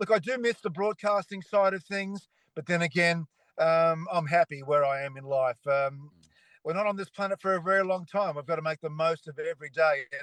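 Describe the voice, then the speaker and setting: Speaking at a moderate pace with an Australian accent, a man uses a high pitch and ordinary pitch variation, in a dry, close sound with no echo against a quiet background. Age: 60s. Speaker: retired cycling broadcaster. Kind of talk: casual chat.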